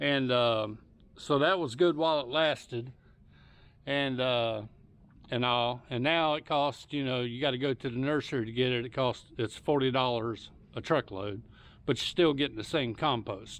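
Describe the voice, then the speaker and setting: In a Southern US accent, a man talks at a moderate pace with a relaxed tone. His pitch is medium, with ordinary pitch variation. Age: 60s. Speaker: home gardener YouTuber. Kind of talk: casual tutorial. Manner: relaxed, hesitant with fillers.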